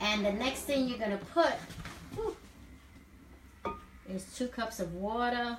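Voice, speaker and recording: A woman with a New York accent speaks fairly slowly amid noticeable background noise and audible room echo. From New York City. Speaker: wellness coach. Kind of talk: cooking demo live chat. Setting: home kitchen, live stream. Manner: casual, chatty.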